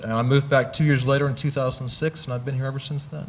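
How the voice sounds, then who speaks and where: Somewhat breathy, a man with an American accent talks at a very fast pace. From US Midwest, Missouri. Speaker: astronomer. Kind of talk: interview on stage.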